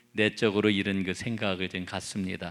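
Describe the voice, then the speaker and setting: Recorded very cleanly against a silent background, a man speaks at a moderate pace with a fairly low pitch. His intonation is monotone and flat. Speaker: pastor. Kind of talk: bible study sermon.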